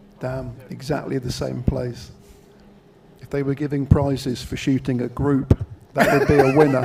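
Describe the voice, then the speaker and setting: Through noticeable background noise, a man speaks with monotone, flat intonation and big swings in loudness. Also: medium pitch for a man, moderate pace. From Wales. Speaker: shooting event commentator. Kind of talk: live commentary.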